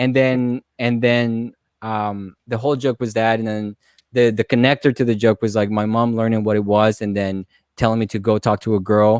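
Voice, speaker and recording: Speaking in a Spanish accent, a man uses a fairly low voice and monotone, flat intonation. The recording is very clean with a silent background, and the sound is dry and close with no echo. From Colombia. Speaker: stand-up comedian. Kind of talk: casual podcast interview. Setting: live-streamed podcast.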